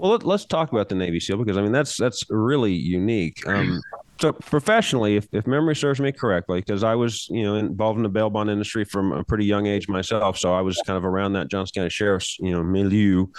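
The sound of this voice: A man with a fairly low voice speaks at a fast pace, his pitch varying in an ordinary way.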